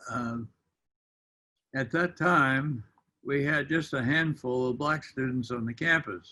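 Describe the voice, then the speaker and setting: A man with an American accent, bright and sharp in tone, at a very slow pace with long, frequent pauses. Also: medium pitch for a man, ordinary pitch variation. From US Midwest, Illinois. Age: 90s. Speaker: retired university administrator. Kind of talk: interview recollection.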